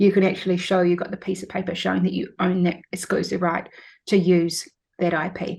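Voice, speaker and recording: Vocal fry runs through a woman's fairly low-pitched voice. She talks at a fairly quick pace with monotone, flat intonation. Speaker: lawyer. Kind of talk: interview. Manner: fast.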